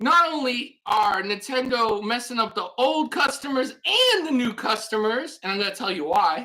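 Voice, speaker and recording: Loud and animated, a woman speaks at a fairly slow pace in a bright, sharp tone with lively intonation. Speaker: gaming YouTuber. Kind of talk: rant video.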